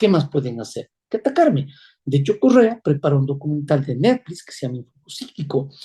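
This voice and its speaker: Very wide pitch swings mark a man's fairly high, somewhat breathy voice with a dark, mellow tone. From Ecuador. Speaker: presidential candidate, former judge. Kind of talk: political interview. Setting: interview program. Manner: emphatic, measured.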